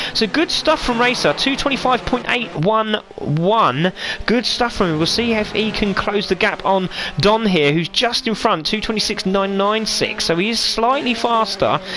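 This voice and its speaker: With a British accent, a man speaks at a high pitch in a raised, projected voice, keeping very even loudness, ordinary pitch variation and a moderate pace over noticeable background noise. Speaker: sim racing commentator. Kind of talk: live commentary. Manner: animated.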